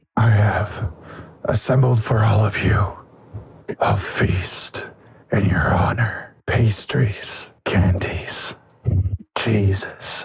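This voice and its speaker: In a put-on character voice, a man speaks at a fairly low pitch and a very slow pace. Long, frequent pauses break up his speech. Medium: actual play. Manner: gracious, formal.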